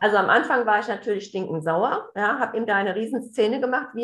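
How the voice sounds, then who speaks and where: A woman with an ordinary speaking voice and a fairly high pitch talks at a fairly quick pace. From Hessen, near Hanau. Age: 40s. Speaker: family coach, addiction relative. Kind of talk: interview, personal testimony.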